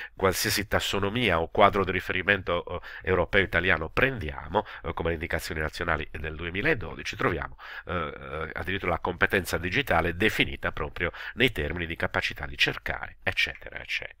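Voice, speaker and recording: A man with a very deep, low pitch has a bright, sharp tone and ordinary pitch variation. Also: fairly quick pace. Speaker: educational technology video tutor. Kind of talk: screen-recorded tutorial. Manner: hesitant, many filler sounds.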